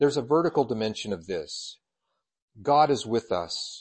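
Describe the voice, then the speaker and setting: Speaking with an American accent, a man has an ordinary speaking voice and a fairly high pitch. He talks at a moderate pace with lively intonation. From Colorado. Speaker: church superintendent and preacher. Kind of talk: sermon. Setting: church.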